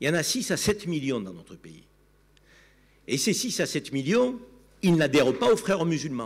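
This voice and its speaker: In a Provençal accent, a man with a fairly high pitch speaks at a moderate pace, using very wide pitch swings, vocal fry, big swings in loudness and long, frequent pauses. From Provence, southern France (Avignon). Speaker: TV commentator. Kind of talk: panel debate. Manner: animated.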